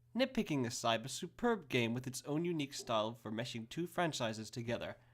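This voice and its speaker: With lively intonation and a fairly quick pace, the voice comes through on a very clean recording with a silent background. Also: man. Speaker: game reviewer. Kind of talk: video game review narration. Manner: fast.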